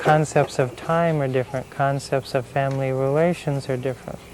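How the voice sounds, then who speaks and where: With an American accent and fairly even intonation, a man speaks at a moderate pace against noticeable background noise. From United States. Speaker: Indian music performer and teacher. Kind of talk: documentary interview.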